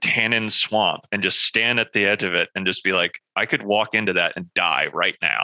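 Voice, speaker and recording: Recorded dry and close with no echo, a man talks in a fairly low pitch with a bright, sharp tone. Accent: American. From US South, northern Florida. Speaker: filmmaker and comedian. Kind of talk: casual interview chat.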